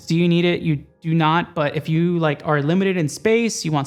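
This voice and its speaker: Fairly quick speech over music in the background. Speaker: streamer and tech YouTuber. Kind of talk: casual product review. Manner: even volume, not loud; casual, filler-heavy.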